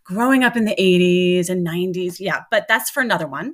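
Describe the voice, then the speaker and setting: In an American accent, a woman with a normal speaking voice talks at a fairly quick pace and a medium pitch, with ordinary pitch variation. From US Northeast, Long Island New York. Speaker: podcast host. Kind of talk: casual interview. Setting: remote recording.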